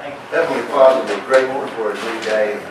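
Noticeable background noise and audible room echo surround a man whose intonation stays fairly even. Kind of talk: prayer and meeting chairing. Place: meeting room. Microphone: camera far.

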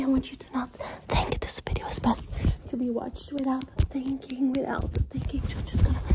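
Whispering at a fairly quick pace, a woman leaves long, frequent pauses as her loudness swings widely. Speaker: ASMR creator. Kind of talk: fast chaotic ASMR personal attention role-play. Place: home room. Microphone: phone near.

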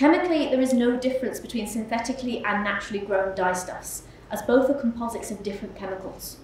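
Her fairly high pitch and ordinary pitch variation carry at a very fast pace as this woman speaks with audible room echo and light background noise. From West Yorkshire, Huddersfield area; West Yorkshire, England. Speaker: MA research student. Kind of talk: conference talk. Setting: symposium stage with audience. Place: hall. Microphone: podium.

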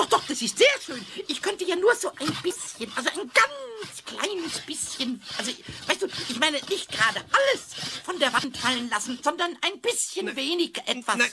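In a put-on character voice with a playful tone and high pitch, the speaker goes at a moderate pace over clear background noise. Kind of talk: children's radio play. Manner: cheeky, playful, wheedling.

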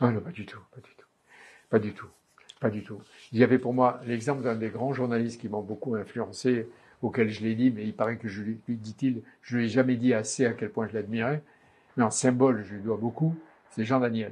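Somewhat breathy, a man speaks at a moderate pace with fairly even intonation and big swings in loudness. Long, frequent pauses break up his speech. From Oran, Algeria; Algeria. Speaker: journalist. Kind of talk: interview answer. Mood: nostalgic, admiring. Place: studio. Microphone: lapel.

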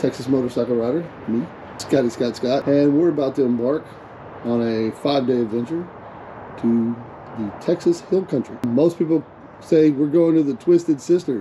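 A man's voice at a moderate pace with ordinary pitch variation, long, frequent pauses, and light background noise. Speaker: motorcycle vlogger. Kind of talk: casual vlog chat. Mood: upbeat, excited for trip. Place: motorbike. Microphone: helmet.

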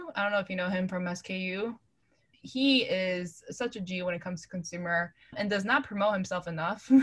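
An ordinary speaking voice from a woman with an American accent, medium pitch, ordinary pitch variation and a moderate pace. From New York City. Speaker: venture capital investor. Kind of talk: casual interview.

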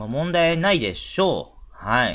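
Vocal fry colors a voice that makes very wide pitch swings. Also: man. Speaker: horse racing tipster. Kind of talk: solo talk video. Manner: halting, many fillers.

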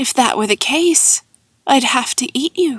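This is a put-on character voice with a high pitch. It moves at a moderate pace. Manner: monotone.

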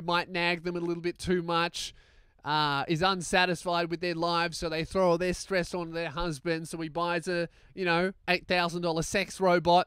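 Speaking at a fairly slow pace and a high pitch, a man comes through in a dry sound with no echo against a quiet background. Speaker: show host. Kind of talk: opinionated commentary. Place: studio. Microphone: handheld.

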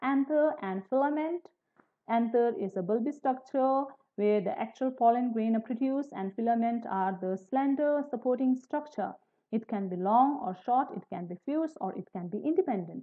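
A woman talks at a moderate pace in a high pitch. The background is quiet. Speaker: biology teacher. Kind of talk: lecture. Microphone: webcam.

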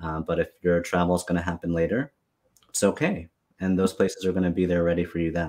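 Against a quiet background, a man with an American accent talks at a very fast pace in a very deep, low voice with fairly even intonation. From New York. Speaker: travel planner; guest. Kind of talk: live-streamed interview. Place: office.

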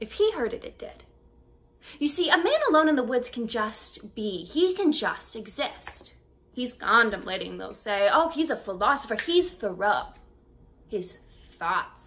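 A woman speaks high in pitch with very wide pitch swings and big swings in loudness. Light background noise runs underneath. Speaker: actor. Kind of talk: dramatic monologue performance, contemporary then classical. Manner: wry, conversational teenage-girl voice with sarcastic asides; rising to defiant, impassioned outbursts in the classical piece. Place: home room. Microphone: phone near.

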